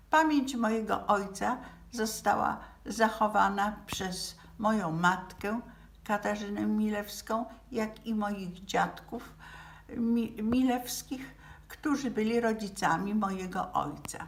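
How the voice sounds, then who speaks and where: Over noticeable background noise, a woman speaks at a very slow pace. Her pitch is fairly high. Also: ordinary pitch variation. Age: 80s+. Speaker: relative of a Nazi victim. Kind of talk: memorial address. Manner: halting.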